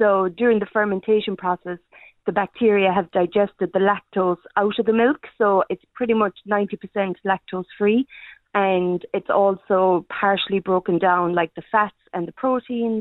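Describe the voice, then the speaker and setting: With a Kerry accent, a woman speaks at a moderate pace, her medium pitch following a fairly even intonation. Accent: Kerry Irish. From Ireland, County Kerry. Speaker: small food business owner. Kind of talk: radio interview. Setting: phone call.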